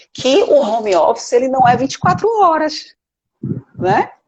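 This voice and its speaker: A woman speaks at a moderate pace. Her pitch has very wide swings. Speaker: lawyer and management professor. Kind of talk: live web interview. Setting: Instagram live video call.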